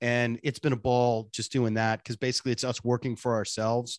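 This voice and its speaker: A man talks in an unremarkable speaking voice at a medium pitch, with fairly even intonation and a moderate pace. The sound is dry and close with no echo, over a quiet background. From US Northeast, Boston. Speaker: radio personality and voice impressionist. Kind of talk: casual interview chat.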